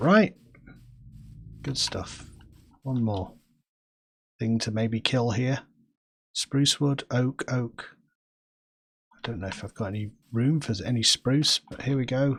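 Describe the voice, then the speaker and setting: With a Manchester accent, a man speaks in a relaxed, somewhat breathy tone at a very slow pace, using ordinary pitch variation and long, frequent pauses. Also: medium pitch for a man, dry, close sound with no echo. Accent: Northern England, Manchester. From England, grew up in various places. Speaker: gaming streamer. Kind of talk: casual gameplay commentary. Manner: relaxed, chatty with hesitations.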